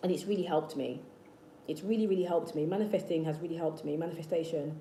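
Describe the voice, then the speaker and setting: Amid noticeable background noise and audible room echo, a woman with a fairly low pitch talks at a very fast pace with fairly even intonation. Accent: British. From South London, England. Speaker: manifestation youtuber. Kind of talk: livestream chat with viewers. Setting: live stream. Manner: repetitive, hesitant restarts.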